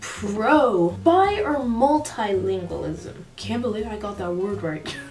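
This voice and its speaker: With an American accent, the speaker goes at a very slow pace, with audible room echo and music in the background. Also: woman. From third culture kid, grew up abroad incl. China. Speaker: vlogger. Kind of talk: casual vlog monologue. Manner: animated.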